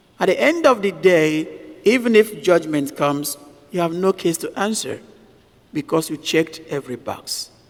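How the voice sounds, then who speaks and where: Over noticeable background noise, a man talks in a high pitch with lively intonation. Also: moderate pace. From Nigeria. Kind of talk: sermon.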